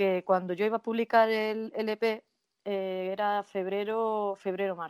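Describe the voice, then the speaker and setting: A woman's ordinary speaking voice, medium in pitch with fairly even intonation, dry and close with no echo, on a very clean recording with a silent background. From Spain, Jaén (Andalusia). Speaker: nurse and singer. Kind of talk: casual interview.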